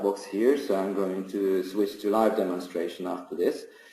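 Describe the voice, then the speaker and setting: A man speaks at a fairly slow pace with a fairly low pitch and a dark, mellow tone, and room echo can be heard. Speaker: software trainer. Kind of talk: webinar tutorial. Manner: halting, many fillers and restarts.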